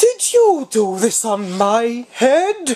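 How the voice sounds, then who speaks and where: A put-on character voice at a fairly high pitch. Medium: read story.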